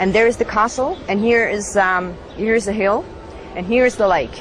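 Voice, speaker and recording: Over music in the background, a woman speaks at a moderate pace with lively intonation and a medium pitch. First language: German. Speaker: former Scientology member. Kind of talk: interview testimony. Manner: halting.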